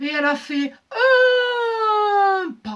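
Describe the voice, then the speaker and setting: This squeaky woman's voice sits at an extremely high pitch, with very wide pitch swings and a playful tone. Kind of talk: oral folk-tale telling. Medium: read story. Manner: rhythmic, repetitive, playful.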